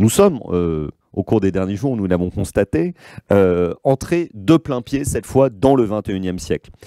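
A man speaks very slowly in a fairly low pitch, his tone dark and mellow, with lively intonation. The sound is dry with no echo, and the background is quiet. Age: 40s. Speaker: communications consultant, former political adviser; guest. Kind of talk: lecture. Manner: halting, frequent repetitions and fillers. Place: meeting room. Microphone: podium.

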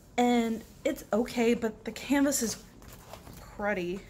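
Light background noise sits behind the speech. The speaker is a woman. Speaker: crafter reviewing a kit. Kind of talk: casual unboxing commentary. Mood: disappointed. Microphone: camera far.

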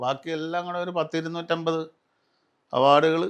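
A man speaks in an ordinary speaking voice at a fairly high pitch. The background is quiet. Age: 60s. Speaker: serial and film actor. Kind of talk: casual interview.

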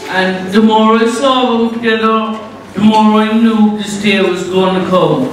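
Strong room echo and light background noise surround a man's voice. He speaks with a high pitch and flat, monotone intonation. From Ireland. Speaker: best man. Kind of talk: wedding speech. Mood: joking, teasing. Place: hall. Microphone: pa.

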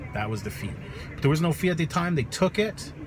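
There is noticeable background noise around the man speaking, though the sound itself is dry with no echo. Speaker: vlogger. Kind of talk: casual vlog chat, storytelling. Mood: exasperated, animated storytelling. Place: car. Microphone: phone near.

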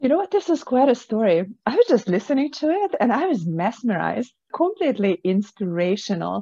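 A woman speaks at a fairly quick pace with a fairly high pitch and very wide pitch swings. Her tone is dark and mellow, and the background is quiet. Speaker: podcast host and author. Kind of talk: interview. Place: office. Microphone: video call.

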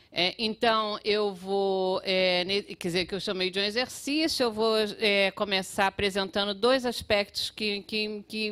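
A woman's fairly high voice with a Brazilian accent, fairly slow and fairly even in intonation, over a quiet background. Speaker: public health researcher; panel lecturer. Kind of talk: conference talk with slides. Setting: auditorium with audience. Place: hall. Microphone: podium.

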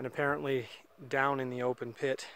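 A man talks over light background noise. The sound is dry, with no echo. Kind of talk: casual vlog commentary. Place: open country. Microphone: phone near.

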